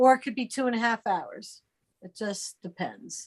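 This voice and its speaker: At a fairly slow pace, a woman with a high pitch speaks with an American accent. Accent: Philadelphia-area, noticed by another. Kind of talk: casual chat.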